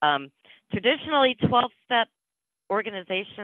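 The speech moves at a moderate pace, with a quiet background and a dry sound with no echo. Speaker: presenter. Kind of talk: presentation talk. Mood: friendly, slightly nervous, laughing. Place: home room. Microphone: video call.

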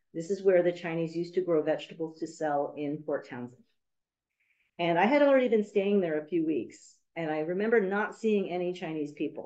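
With an American accent, a woman speaks at a fairly low pitch and a fairly quick pace, her tone dark and mellow and her pitch varying in an ordinary way. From US West Coast, San Francisco; California. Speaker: university professor and documentary filmmaker; university professor. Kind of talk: academic lecture. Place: meeting room. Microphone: video call.

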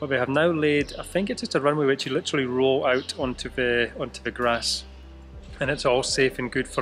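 Over faint music in the background, a man talks at a fairly quick pace with fairly even intonation. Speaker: travel vlogger. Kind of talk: casual vlog chat. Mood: relaxed, self-mocking laughter. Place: station. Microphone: phone near.

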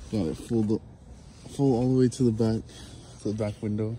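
A man's fairly low voice at a moderate pace, flat and monotone, over light background noise. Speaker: vlogger. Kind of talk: casual vlog chat. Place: street. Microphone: phone near.

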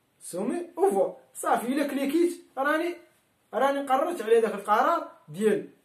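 Audible room echo surrounds a man with a high pitch, though the background is quiet. He talks at a moderate pace. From Morocco. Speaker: electrical engineering teacher. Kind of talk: tutorial; lecture. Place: home room. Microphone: camera far.

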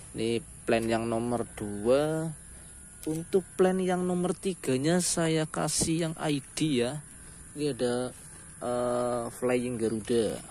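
This man talks at a very slow pace and a medium pitch. His intonation is lively. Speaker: plant seller. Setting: online video, self-recorded. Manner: chatty, informal, direct address to viewers.

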